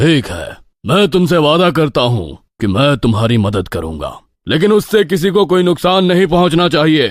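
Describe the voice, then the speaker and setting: At a moderate pace, a cartoonish character voice lurches through very wide pitch swings. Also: man, fairly high pitch for a man. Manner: authoritative, fatherly.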